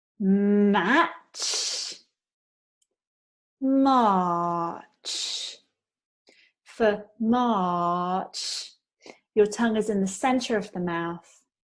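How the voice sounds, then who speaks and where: A woman with a British accent and a medium pitch, at a very slow pace with long, frequent pauses against a quiet background. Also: ordinary pitch variation. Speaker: pronunciation teacher. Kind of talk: pronunciation lesson.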